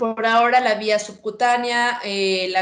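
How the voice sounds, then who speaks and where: A woman speaks with a fairly high pitch and fairly even intonation. The room echo is audible. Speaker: veterinarian. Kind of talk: lecture.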